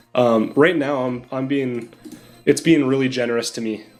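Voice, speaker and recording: Man's voice at a medium pitch, moderate pace and fairly even intonation, over background music. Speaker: game streamer. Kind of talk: live stream commentary. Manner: loud.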